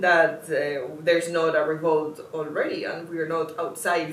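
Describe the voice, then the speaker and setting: A woman's fairly low voice with a non-native accent, very slow in pace, amid noticeable background noise and audible room echo. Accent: non-native English, self-noted pronunciation. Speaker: artist and video essayist. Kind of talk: video essay monologue. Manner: impassioned, urgent; slight stumbles and fillers.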